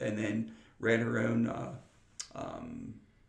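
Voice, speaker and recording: Audible room echo surrounds the voice. It is a man talking in an American accent. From western Pennsylvania, Freeport. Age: 60s. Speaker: retired air force chief master sergeant and teacher. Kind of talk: interview conversation. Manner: halting, many repeated words.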